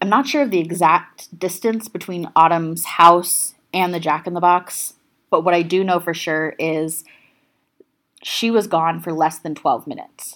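Recorded very cleanly with a silent background, a plain, everyday voice moves at a fairly slow pace with ordinary pitch variation. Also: woman, fairly low pitch for a woman. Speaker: true crime podcast host. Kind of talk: true-crime narration, telling the case story to a live audience. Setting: live stage with audience at a festival. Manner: steady, serious storytelling; conversational, addressing the audience directly.

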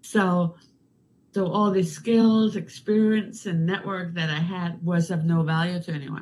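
Somewhat breathy, a woman speaks at a fairly low pitch. Her pace is fairly slow and her intonation fairly even. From Denmark. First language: Danish. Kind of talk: casual interview.

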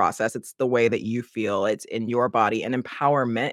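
With an American accent, a man speaks in a dry, close sound with no echo. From United States. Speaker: life and leadership coach. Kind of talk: casual interview chat.

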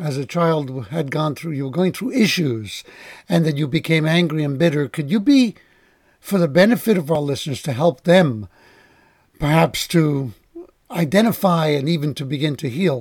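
With a plain, everyday voice, a man speaks at a moderate pace, his pitch fairly high with ordinary variation. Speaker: podcast host. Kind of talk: interview.

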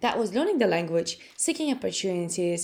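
A woman speaks with a Russian accent. Her pitch sits at a medium level. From Latvia. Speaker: personal growth coach and speaker. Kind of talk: interview conversation. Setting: remote call from home.

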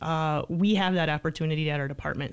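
In a very clean recording with a silent background, a woman uses an unremarkable speaking voice, fairly low in pitch, with fairly even intonation. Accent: American. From Michigan, St. Johns. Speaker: police sergeant. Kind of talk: casual interview. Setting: studio.

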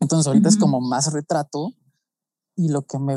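A Mexican accent in a dark, mellow tone, with a dry, close sound and no echo. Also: man. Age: 20s. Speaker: photographer and pharmaceutical chemist. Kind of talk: podcast interview.

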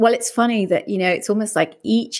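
A woman with a British accent, recorded very cleanly against a silent background. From UK. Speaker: life coach and podcast host. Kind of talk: interview.

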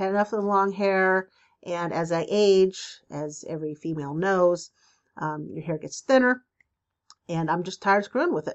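With a normal speaking voice at medium pitch, a woman talks at a moderate pace, her pitch varying in an ordinary way and her loudness swinging widely. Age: 50s. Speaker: spiritual advice podcaster. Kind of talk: solo podcast monologue. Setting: home video recording. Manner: casual, chatty.

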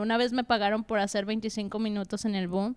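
In a Mexican accent, a woman speaks at a moderate pace. Her pitch is fairly high. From Mexico, Aguascalientes. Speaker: comedian and co-host. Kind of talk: casual chat.

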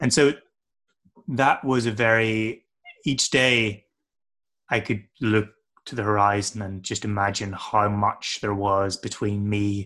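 The man's tone is bright and sharp. His pitch is fairly low. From Northern Ireland. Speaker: adventurer and trail builder. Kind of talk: interview. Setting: video call.

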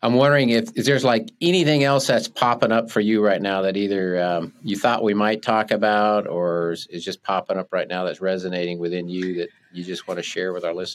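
In an ordinary speaking voice, a man talks at a fairly quick pace with hardly any pauses, a fairly low pitch and ordinary pitch variation on a very clean recording with a silent background. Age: 60s. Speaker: podcast host and life coach. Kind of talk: casual interview. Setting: podcast studio.

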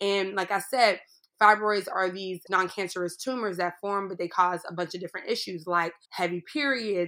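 A woman with an American accent speaks at a medium pitch in a bright, sharp tone. The recording is very clean, with a silent background. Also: fairly even intonation, moderate pace. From US, Pittsburgh, Pennsylvania. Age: 30s. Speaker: writer and comedian. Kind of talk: interview testimony.

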